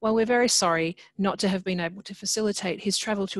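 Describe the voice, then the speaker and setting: A woman speaking at a very fast pace with fairly even intonation, in a dry sound with no echo against a quiet background. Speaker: host introducing a lecture. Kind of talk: formal welcome and introduction. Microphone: video call.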